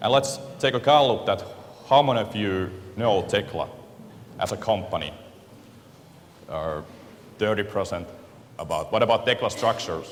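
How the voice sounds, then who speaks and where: A man with a Finnish accent, long, frequent pauses and audible room echo. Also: moderate pace. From Finland. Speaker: software company representative. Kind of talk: conference presentation. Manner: halting, many fillers.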